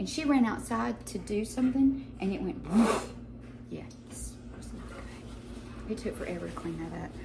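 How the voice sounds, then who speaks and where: A woman talks at a moderate pace with long, frequent pauses and big swings in loudness. Noticeable background noise and audible room echo fill the recording. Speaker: home cooking channel host. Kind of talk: cooking tutorial.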